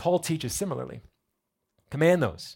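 A voice comes through in an American accent. The recording is very clean with a silent background. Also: man. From New Jersey. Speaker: pastor. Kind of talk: sermon. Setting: church.

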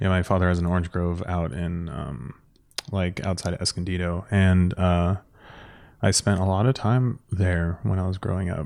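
Recorded very cleanly against a silent background, a man with an American accent talks at a moderate pace in a very deep, low voice. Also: ordinary pitch variation. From San Diego, California. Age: 30s. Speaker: art director, podcast guest. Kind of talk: casual chat.

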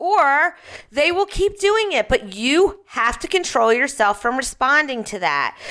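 A woman with an American accent, raised and projected, bright and sharp in tone, with very wide pitch swings at a fairly slow pace. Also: very clean recording, silent background. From Philadelphia. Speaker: radio host and parenting expert. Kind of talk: radio talk show. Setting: studio.

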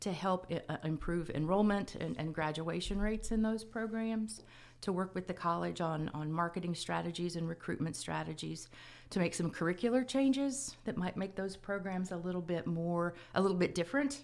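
Using a plain, everyday voice, a woman speaks at a moderate pace with fairly low pitch and lively intonation. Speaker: college provost. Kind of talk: formal interview answers. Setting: campus radio studio. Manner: formal, measured.

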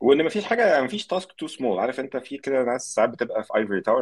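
Very fast speech from a man. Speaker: software engineer. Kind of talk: casual chat.

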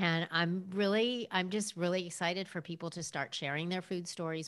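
On a very clean recording with a silent background, a woman with an American accent speaks at a moderate pace and a fairly low pitch. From US West Coast, Los Angeles. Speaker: nutrition and eating psychology coach. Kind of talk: casual interview chat.

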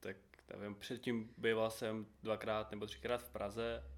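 Here a man speaks in an ordinary speaking voice. He goes at a fairly slow pace with ordinary pitch variation. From Ukraine. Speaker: small business owner. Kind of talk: casual interview.

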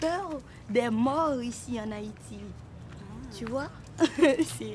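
A woman's high voice at a very slow pace. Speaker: theatre artist. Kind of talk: documentary interview.

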